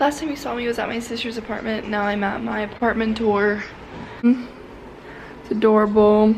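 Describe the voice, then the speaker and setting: A woman talks in a space with audible room echo, noticeable background noise underneath her. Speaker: vlogger. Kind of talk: casual vlog talk.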